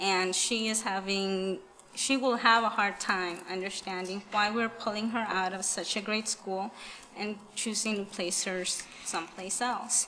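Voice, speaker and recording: A woman's medium-pitched voice with a Spanish accent, fairly slow and in monotone, flat intonation, over noticeable background noise. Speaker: parent giving public comment. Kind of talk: public comment at school board meeting. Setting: school board meeting.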